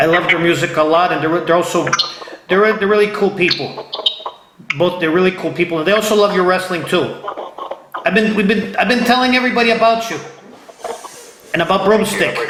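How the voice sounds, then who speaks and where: A man with an American accent, high in pitch and animated in tone, at a fairly quick pace broken by long, frequent pauses, with ordinary pitch variation, noticeable background noise and audible room echo. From Ohio. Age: 50s. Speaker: interview show host. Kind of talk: casual interview. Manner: animated, repetitive.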